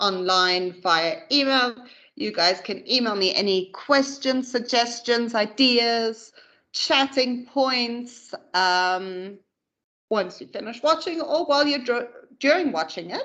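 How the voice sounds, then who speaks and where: A woman's high voice, lively in intonation and very slow in pace, against a quiet background. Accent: Namibian. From Namibia. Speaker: corporate trainer. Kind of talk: training presentation. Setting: pre-recorded online session.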